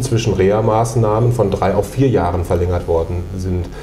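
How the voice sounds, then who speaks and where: With light background noise and audible room echo, a man of fairly low pitch speaks at a moderate pace. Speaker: interviewer, channel host. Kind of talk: interview questions. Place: meeting room. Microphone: lapel.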